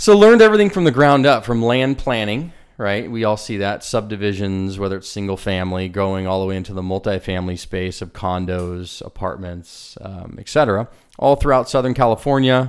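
With an American accent and an unremarkable speaking voice, a man talks at a fairly low pitch with ordinary variation. His loudness swings widely, on a very clean recording with a silent background. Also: fairly quick pace. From US West Coast, San Diego. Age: 40s. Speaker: real estate developer. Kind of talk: casual interview.

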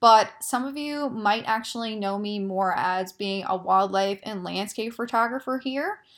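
A woman with a plain, everyday voice speaks fairly slowly, at a fairly high pitch with ordinary pitch variation and hardly any pauses. The recording is very clean, with a silent background. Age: 20s. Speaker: podcast host. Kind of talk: casual monologue.

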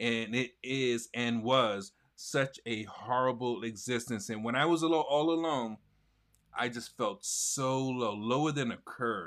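A man speaks in a normal speaking voice of medium pitch with ordinary pitch variation. The recording is very clean, with a silent background. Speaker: livestream host. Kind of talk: casual interview.

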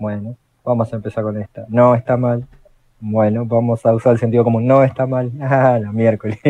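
Dry and close with no echo, a man speaks in an Argentine accent at a moderate pace and medium pitch. His tone is dark and mellow, his intonation monotone and flat. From Argentina. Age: 30s. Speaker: electrician and role-playing gamer. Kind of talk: casual panel chat.

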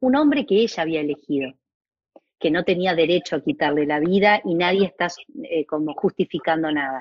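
A woman's a plain, everyday voice, fairly low in pitch, with a fairly quick pace and lively intonation. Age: 50s. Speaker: family constellations facilitator and school director. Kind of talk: casual chat.

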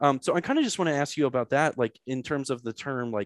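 A man with an American accent talks at a fairly quick pace with ordinary pitch variation. The sound is dry and close with no echo, a very clean recording over a silent background. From St. Louis, Missouri, US. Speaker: podcast host. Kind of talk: casual interview conversation. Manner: halting, many fillers.

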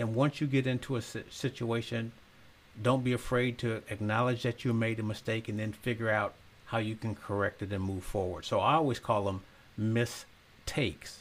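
This man has an unremarkable speaking voice at a medium pitch. His intonation is fairly even and his pace moderate. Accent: American. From US Midwest, Zion, Illinois. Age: 60s. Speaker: mayor and former professional basketball player. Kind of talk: interview.

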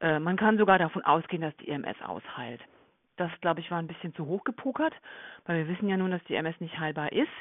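A plain, everyday voice from a woman, fairly low in pitch, fairly quick, with ordinary pitch variation. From Germany. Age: 40s. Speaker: nurse. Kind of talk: interview. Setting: podcast interview.

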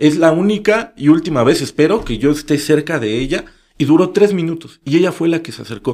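A man talks at a fairly quick pace in a fairly high pitch. It is an ordinary speaking voice. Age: 30s. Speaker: local social media content creator and activist. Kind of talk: interview conversation.

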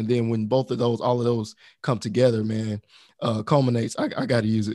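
Using a plain, everyday voice, a man with an American accent talks at a fairly quick pace and medium pitch, his intonation fairly even. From US South. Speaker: podcast co-host. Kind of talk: casual chat.

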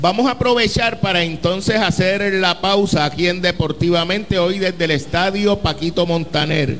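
A high-pitched man at a fairly slow pace, with ordinary pitch variation and noticeable background noise. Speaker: sports radio host. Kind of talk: sports talk show. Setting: stadium lobby, live event.

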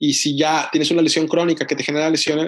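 A man with a fairly high-pitched voice. He talks very fast. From Mexico, Monterrey. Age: 20s. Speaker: orthopedic surgeon. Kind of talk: interview.

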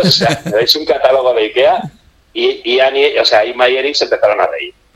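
A man at a fairly quick pace. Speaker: book section contributor. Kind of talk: casual chat. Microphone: phone line with echo.

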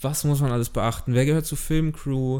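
A man speaks at a medium pitch with a dark, mellow tone and monotone, flat intonation. The recording is very clean, with a silent background. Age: 20s. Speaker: podcast host, film student. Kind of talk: casual chat. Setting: studio, recorded on camera.

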